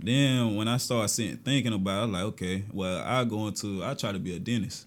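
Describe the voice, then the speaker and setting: The recording is very clean with a silent background. A man talks very fast at a fairly low pitch with ordinary pitch variation. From Augusta, Georgia. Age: young. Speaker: schoolteacher. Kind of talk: casual interview.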